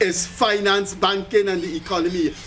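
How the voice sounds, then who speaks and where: Over music in the background, a man speaks at a fairly slow pace in an animated tone. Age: 70s. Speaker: pensioner and commentator. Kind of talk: public appeal; casual chat.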